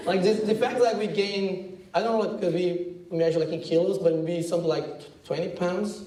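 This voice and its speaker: A man's high-pitched voice in a Brazilian accent at a fairly quick pace, with fairly even intonation, audible room echo and noticeable background noise. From Brazil, countryside outside São Paulo. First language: Portuguese. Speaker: advertising creative director. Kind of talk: talk to students. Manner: casual, halting with fillers.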